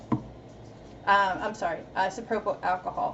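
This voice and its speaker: A woman with an American accent and ordinary pitch variation, over noticeable background noise. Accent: East Coast accent noticed by viewers. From Massachusetts, US. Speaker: artist. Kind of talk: live stream tutorial. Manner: casual, halting.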